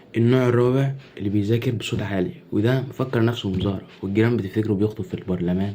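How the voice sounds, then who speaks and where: A man speaks quietly and fairly quickly with an Egyptian accent, his medium-pitched voice somewhat breathy. The tone is dark and mellow, with ordinary pitch variation. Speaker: content creator. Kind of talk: comedy sketch monologue. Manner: quiet, lowered voice.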